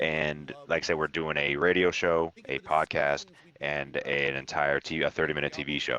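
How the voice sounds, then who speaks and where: The speech moves at a moderate pace, with a dry, close sound with no echo and noticeable background noise. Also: man, very deep, low pitch for a man. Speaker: streamer. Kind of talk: casual chat. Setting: voice chat on Discord. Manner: animated.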